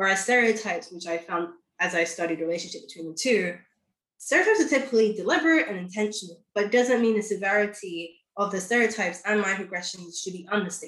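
Her loudness swings widely as a woman of medium pitch speaks at a very fast pace with ordinary pitch variation. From London. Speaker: recent sociology graduate. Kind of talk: interview conversation.

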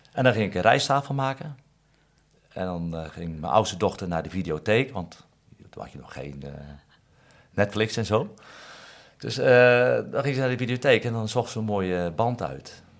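Pausing long and often, a man talks at a moderate pace in a fairly low pitch, with very wide pitch swings and big swings in loudness. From Netherlands, Katwijk. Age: 50s. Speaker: fishmonger. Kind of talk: interview. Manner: halting.

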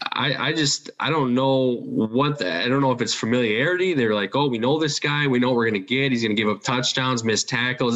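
A man talks fairly quickly with ordinary pitch variation while background noise is noticeable. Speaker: sports podcast co-host. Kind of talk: casual chat.

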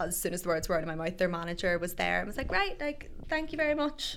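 A woman speaks in a Northern Irish accent with a bright, sharp tone. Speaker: radio presenter. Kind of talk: casual chat. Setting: studio. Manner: fast.

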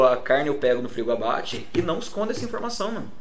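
With audible room echo and noticeable background noise, a man races along at a very fast pace with ordinary pitch variation. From Minas Gerais, Brazil. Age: 30s. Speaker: burger restaurant co-owner, advertising professional. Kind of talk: casual interview chat.

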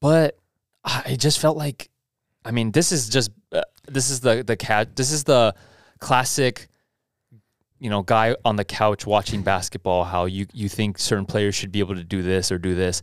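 A man with a plain, everyday voice talks at a fairly low pitch and moderate pace with lively intonation. The sound is dry and close with no echo, on a very clean recording with a silent background. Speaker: podcast host. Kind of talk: casual podcast chat.

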